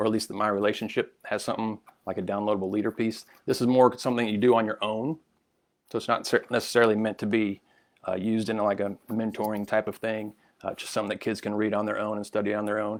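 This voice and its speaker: The recording is very clean, with a silent background. A man talks at a fairly quick pace in a fairly low pitch, his intonation monotone and flat. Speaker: children's ministry product developer. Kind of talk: live-streamed product walkthrough with Q&A. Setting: Facebook livestream.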